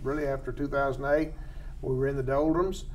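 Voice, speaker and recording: A normal speaking voice with an American accent, at a moderate pace. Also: man. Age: 60s. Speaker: wildlife biologist host. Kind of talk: casual expert interview. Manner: folksy, humorous.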